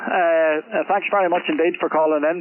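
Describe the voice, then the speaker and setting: Speaking at a fairly quick pace, a man with a Northern Irish accent. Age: 60s. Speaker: amateur radio operator. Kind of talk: casual chat. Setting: radio contact. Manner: halting, many fillers.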